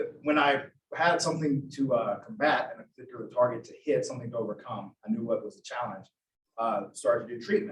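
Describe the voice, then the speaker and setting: Talking at a very fast pace with an American accent, a man uses a fairly high pitch, lively intonation and big swings in loudness, his voice somewhat breathy. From US South, Georgia. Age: 30s. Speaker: boxing gym business owner. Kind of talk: interview.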